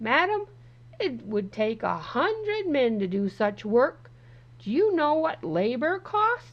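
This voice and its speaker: Over light background noise, a woman uses a put-on character voice at a high pitch, speaking at a fairly slow pace with very wide pitch swings. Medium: read story. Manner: condescending.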